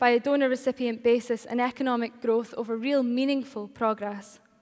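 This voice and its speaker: In a Shetland accent, a woman speaks at a fairly quick pace with high pitch and fairly even intonation, in a very clean recording with a silent background. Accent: Scottish (Shetland). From Shetland, Scotland. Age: 20s. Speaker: student political campaigner. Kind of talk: political speech to a live audience.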